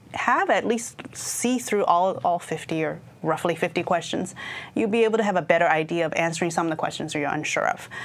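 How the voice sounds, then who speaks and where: A woman speaks at a fairly low pitch with ordinary pitch variation. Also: fairly quick pace. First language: not English. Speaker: IT certification trainer. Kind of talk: exam prep discussion. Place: studio. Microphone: lapel.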